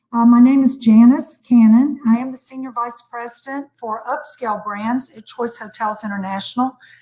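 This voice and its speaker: A woman's high-pitched voice with fairly even intonation and a dark, mellow tone. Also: moderate pace, hardly any pauses, big swings in loudness. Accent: American. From United States. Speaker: hotel executive. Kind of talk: panel discussion.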